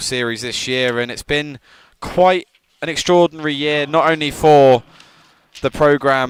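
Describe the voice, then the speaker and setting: With an English accent, a man talks fairly slowly at a fairly high pitch, keeping his intonation fairly even. The sound is dry and close, with no echo. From England. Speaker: student sports commentator. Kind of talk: live commentary. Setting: commentary booth.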